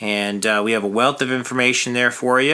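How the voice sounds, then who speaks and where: Noticeable background noise fills the recording. Over it, a man delivers his words at a fairly quick pace. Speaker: financial advisor, radio show host. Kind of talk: financial talk radio show. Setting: radio studio.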